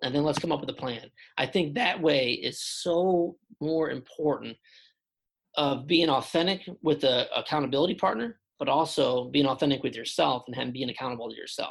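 A man speaks at a moderate pace and medium pitch with ordinary variation, his voice carrying vocal fry and a slightly husky edge.

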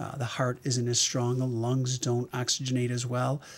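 A man with an unremarkable speaking voice talks at a moderate pace and medium pitch. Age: 60s. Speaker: emergency physician. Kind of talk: interview.

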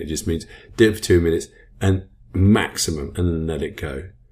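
A dark, mellow tone, somewhat breathy. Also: man. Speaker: self-help podcast host. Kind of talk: motivational talk. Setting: podcast recording. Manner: varies speed and pitch for effect.

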